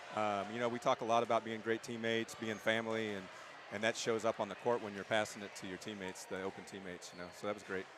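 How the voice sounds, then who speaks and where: Talking very fast, a man with a fairly low voice keeps a flat, monotone delivery while his loudness swings widely. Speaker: basketball coach. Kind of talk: post-game interview. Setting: gym.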